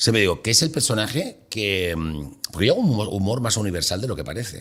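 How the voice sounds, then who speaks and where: This man has an ordinary speaking voice with a fairly low pitch. He talks at a fairly quick pace with lively intonation. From Mallorca, Palma. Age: 60s. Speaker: comedian. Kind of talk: casual chat. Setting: studio.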